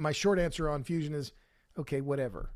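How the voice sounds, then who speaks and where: Over a silent background in a very clean recording, a man with a fairly high pitch and ordinary pitch variation has a normal speaking voice. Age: 60s. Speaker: author and podcaster. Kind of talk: casual interview.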